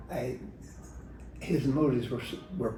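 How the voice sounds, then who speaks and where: A man with an American accent talks at a moderate pace with ordinary pitch variation. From rural Virginia, USA. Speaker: retired state legislator. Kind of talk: oral history interview answer. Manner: hesitant, with fillers and repetitions.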